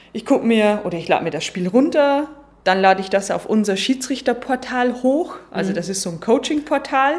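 A woman talks at a moderate pace with lively intonation in a Lower Bavarian accent. Noticeable background noise sits behind her. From Lower Bavaria, Germany. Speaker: football referee. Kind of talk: interview. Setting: stadium box.

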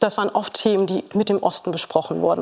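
Noticeable background noise runs under the recording. A woman is speaking. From Saxony-Anhalt, eastern Germany. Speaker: sociologist. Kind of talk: TV panel discussion. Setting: TV studio with audience.

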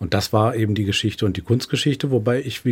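Somewhat breathy, a man speaks at a fairly low pitch with ordinary pitch variation. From northern Germany, Lübeck. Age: 50s. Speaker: museum director. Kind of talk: radio interview. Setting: studio.

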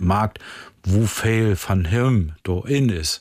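The background is silent on this very clean recording of a man whose fairly low voice shows ordinary pitch variation. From northern Germany, Friesland (Jever). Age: 60s. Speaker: musician. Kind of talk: casual interview chat in Low German. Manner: quiet, reserved.

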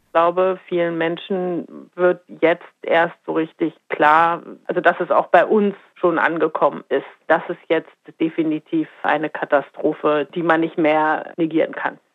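A woman's fairly low-pitched voice, monotone and flat in intonation, at a fairly slow pace. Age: 50s. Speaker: marine biologist. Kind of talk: interview; audio diary. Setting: outdoors on a balcony.

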